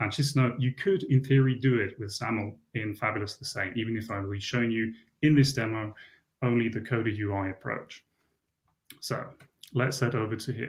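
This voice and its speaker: Somewhat breathy and medium in pitch, a man speaks at a moderate pace with long, frequent pauses. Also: ordinary pitch variation. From Switzerland. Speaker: software developer conference speaker. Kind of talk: conference tech talk with live demo.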